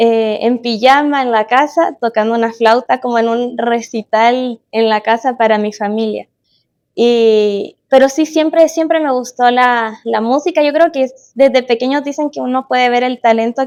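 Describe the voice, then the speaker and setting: A woman speaks at a high pitch with ordinary pitch variation. Her moderately paced voice sounds dry and close, with no echo. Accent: Chilean. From Chile, Concepción. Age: 20s. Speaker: musician. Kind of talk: casual chat. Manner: hesitant, many fillers.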